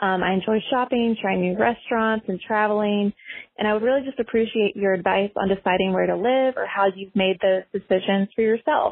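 This woman has a normal speaking voice at a fairly high pitch. She talks at a fairly quick pace with fairly even intonation. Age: 20s. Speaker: listener leaving a voicemail. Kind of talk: voicemail question. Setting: phone voicemail.

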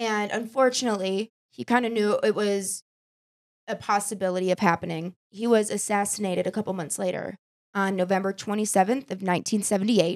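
A woman with an American accent speaks at a medium pitch and a moderate pace in an ordinary speaking voice. The sound is dry and close, with no echo. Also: fairly even intonation. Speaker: podcast host. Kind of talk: casual chat.

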